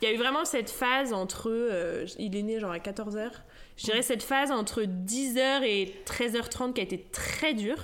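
With audible echo from the room, a woman speaks at a fairly slow pace. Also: fairly high pitch for a woman, ordinary pitch variation. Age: 30s. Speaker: stay-at-home mother and naturopath. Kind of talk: testimony. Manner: casual and hesitant, many fillers.

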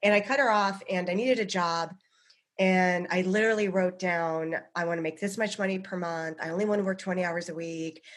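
Against a quiet background, a woman with an American accent speaks in an unremarkable speaking voice at a medium pitch, with fairly even intonation and a fairly quick pace. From US, Boulder, Colorado. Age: 40s. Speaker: psychic medium and comedian. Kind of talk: casual chat.

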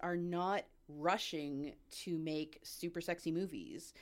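The recording is very clean, with a silent background. In it, a woman talks at a medium pitch. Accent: Canadian. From Canada, Ottawa. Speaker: customer service worker, podcast guest. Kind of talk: casual chat.

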